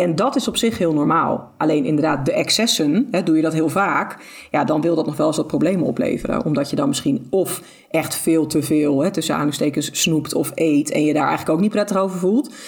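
With lively intonation and very even loudness, a woman talks at a fairly quick pace in a very deep, low pitch. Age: 30s. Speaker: intuitive eating expert. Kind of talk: podcast interview.

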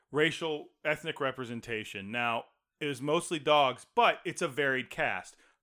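At a moderate pace, a man speaks in an ordinary speaking voice, fairly high in pitch with ordinary pitch variation. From Texas. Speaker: podcast co-host. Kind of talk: casual chat.

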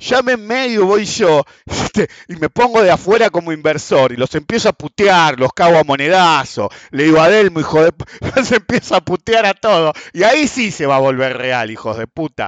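A man with a Rioplatense accent and a high pitch talks at a moderate pace with very wide pitch swings, in a dry, close sound with no echo. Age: 50s. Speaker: economics and markets podcast host. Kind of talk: solo commentary monologue.

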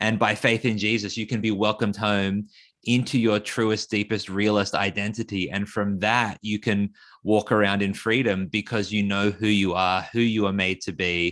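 This man, with an Australian accent, talks at a moderate pace in a fairly low pitch with fairly even intonation. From Australia (Sydney, regional New South Wales). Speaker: author and school teacher. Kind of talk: interview conversation. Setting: remote call from Australia.

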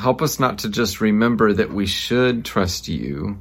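An unremarkable speaking voice from a man, medium in pitch with ordinary pitch variation and a fairly slow pace. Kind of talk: fervent spoken prayer. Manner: earnest, pleading, heartfelt; measured, reverent pace with occasional self-correction.

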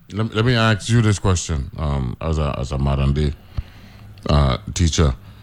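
The voice moves at a moderate pace with very wide pitch swings, in an American accent. Background noise is noticeable. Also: man, very deep, low pitch for a man. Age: 50s. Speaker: radio host. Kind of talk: casual chat.

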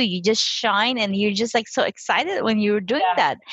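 Noticeable background noise sits behind a woman's voice. She speaks at a moderate pace with a fairly high pitch. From Philippines. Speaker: financial coach. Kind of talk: interview.

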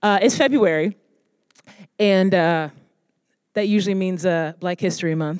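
The speech moves at a moderate pace, with long, frequent pauses. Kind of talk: motivational pep talk. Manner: urgent, warm and emphatic, pleading, rallying the audience with repetition.

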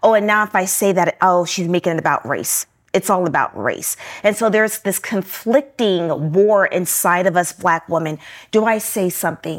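A woman with an American accent speaks in an ordinary speaking voice at a medium pitch. Her pitch varies in an ordinary way, and her pace is moderate. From Newport News, Virginia. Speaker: author and business consultant. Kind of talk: interview.

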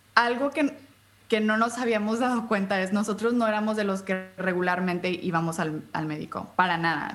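A woman's medium-pitched voice shows ordinary pitch variation as she talks at a moderate pace. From US-Mexico border, Brownsville and Matamoros. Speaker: podcaster and patient advocate. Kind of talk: interview.

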